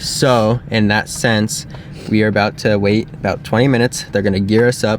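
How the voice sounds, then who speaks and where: At a moderate pace and a fairly low pitch, this man speaks while noticeable background noise is present. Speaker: vlogger. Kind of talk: casual chat. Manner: calm.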